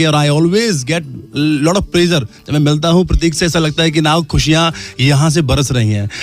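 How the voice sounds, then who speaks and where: With music in the background, a man speaks at a moderate pace in a fairly high pitch with ordinary pitch variation. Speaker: motivational speaker, guest on radio show. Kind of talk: radio interview answer, motivational talk. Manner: warm, upbeat, friendly.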